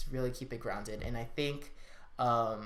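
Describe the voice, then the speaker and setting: In a room with audible echo, a man speaks at a moderate pace and medium pitch. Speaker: student design team member giving advice. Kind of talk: casual vlog talk. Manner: filler-heavy, informal.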